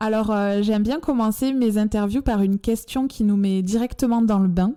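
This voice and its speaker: A woman talks at a moderate pace in a fairly high pitch. Her loudness stays very even. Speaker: podcast host. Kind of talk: scripted intro then interview.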